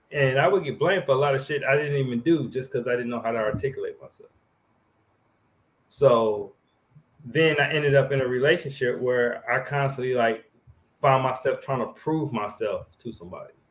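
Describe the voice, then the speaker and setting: Somewhat breathy, a man speaks with ordinary pitch variation. Long, frequent pauses mark his delivery. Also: big swings in loudness. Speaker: podcast co-host. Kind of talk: casual chat.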